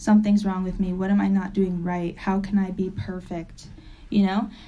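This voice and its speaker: A woman with an American accent talks at a fairly quick pace in a medium-pitched, dark, mellow and somewhat breathy voice, with audible room echo. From Springfield, Massachusetts. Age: 20s. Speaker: recovery meeting speaker. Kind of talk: testimony.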